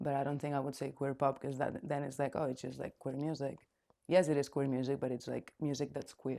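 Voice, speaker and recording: The speech moves at a fairly quick pace in a dark, mellow tone with a Spanish accent. The intonation stays monotone and flat. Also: woman, very deep, low pitch for a woman. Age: 20s. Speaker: singer-songwriter. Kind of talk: interview. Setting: studio.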